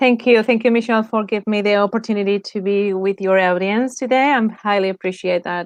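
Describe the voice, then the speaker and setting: A woman speaks with a Spanish accent at medium pitch and fairly even intonation. She leaves hardly any pauses, and the sound is dry and close with no echo. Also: fairly quick pace. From Spain. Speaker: lifestyle design coach. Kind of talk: interview.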